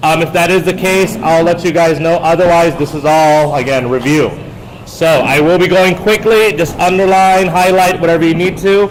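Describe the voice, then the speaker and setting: Amid noticeable background noise and audible room echo, a man speaks at a high pitch with very even loudness and fairly even intonation. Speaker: high school history teacher. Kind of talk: lecture. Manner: fast; frequent filler words.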